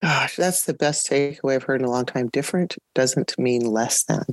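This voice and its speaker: Her very deep, low pitch moves at a fairly quick pace as this woman speaks. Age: 50s. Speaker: podcast host, veteran band director. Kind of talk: podcast interview.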